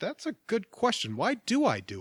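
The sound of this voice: A put-on character voice with a fairly bright tone and a slightly husky edge moves at a moderate pace through very wide pitch swings. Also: man.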